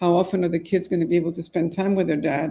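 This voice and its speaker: With a dark, mellow tone, a woman talks at a fairly low pitch. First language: French. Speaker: divorce mediator. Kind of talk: podcast interview.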